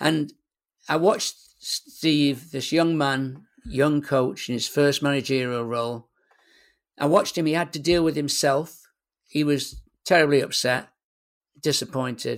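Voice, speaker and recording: A man with a Mancunian accent talks at a fairly high pitch with fairly even intonation, at a fairly slow pace. Long, frequent pauses break up his speech on a very clean recording with a silent background. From northern England, Manchester. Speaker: sports psychologist. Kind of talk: interview conversation.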